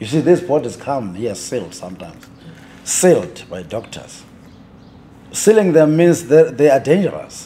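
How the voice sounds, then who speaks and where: Speaking at a moderate pace with long, frequent pauses, a man with a fairly high pitch makes very wide pitch swings and big swings in loudness. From South Africa. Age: 60s. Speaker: undertaker. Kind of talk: interview.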